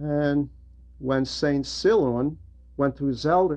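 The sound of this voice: A man speaks at a slow pace with a slightly mellow tone. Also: fairly high pitch for a man, ordinary pitch variation.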